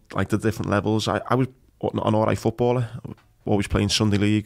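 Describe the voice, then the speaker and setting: The speech comes at a very fast pace in monotone, flat intonation. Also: man. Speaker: podcast host, former Marine and blast survivor. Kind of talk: casual interview chat.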